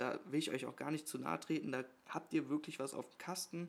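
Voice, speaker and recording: The voice carries vocal fry and a monotone, flat intonation. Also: man. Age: 20s. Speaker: podcast co-host, local politician. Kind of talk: casual chat. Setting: kitchen table at home.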